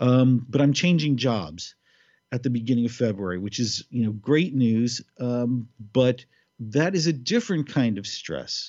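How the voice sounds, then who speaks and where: A man with an American accent and an ordinary speaking voice, medium in pitch, with lively intonation at a fairly slow pace. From New York City. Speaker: podcast co-host. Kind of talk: casual chat.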